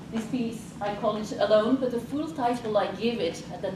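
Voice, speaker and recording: A woman's fairly high voice at a moderate pace, with audible room echo and noticeable background noise. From France. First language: French. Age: 40s. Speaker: life coach. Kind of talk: presentation.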